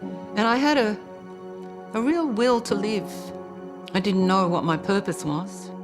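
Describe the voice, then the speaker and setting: With music playing underneath, a woman's medium-pitched voice comes through. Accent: Australian. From Australia. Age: 70s. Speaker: spiritual teacher. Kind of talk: documentary interview answer.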